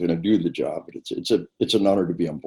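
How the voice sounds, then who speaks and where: With a dark, mellow tone and fairly low pitch, a man talks at a very fast pace with ordinary pitch variation. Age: 60s. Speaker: retired army officer and author. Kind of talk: interview. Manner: halting.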